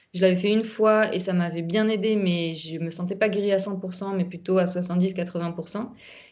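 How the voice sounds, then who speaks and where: At a moderate pace, a woman speaks at medium pitch in a monotone, flat intonation, with audible room echo. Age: 30s. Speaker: YouTuber sharing health recovery story. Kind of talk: testimony.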